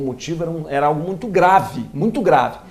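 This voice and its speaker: A man with a Minas Gerais accent talks at a fairly quick pace with ordinary pitch variation amid noticeable background noise. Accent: mineiro. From Minas Gerais, Brazil (Lavras). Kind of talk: interview. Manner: halting, with many restarts.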